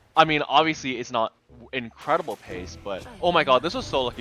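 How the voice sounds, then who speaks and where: A man is talking here. His pitch swings very widely while music plays in the background. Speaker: gamer, speedrunner. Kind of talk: gameplay commentary voiceover. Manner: casual, rambling, many fillers.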